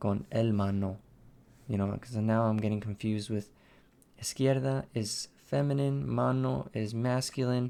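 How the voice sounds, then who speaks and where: Speaking fairly slowly in an American accent, a man uses lively intonation, a medium pitch and a dark, mellow tone. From United States. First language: Spanish. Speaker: cursive handwriting educator and artist. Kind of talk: live-stream handwriting practice with chat. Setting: live stream.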